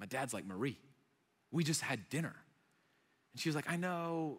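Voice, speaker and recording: In a very clean recording with a silent background, a man speaks in an animated tone. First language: Arabic. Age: 30s. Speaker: young adults pastor. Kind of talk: sermon. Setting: church stage with audience. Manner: animated, conversational.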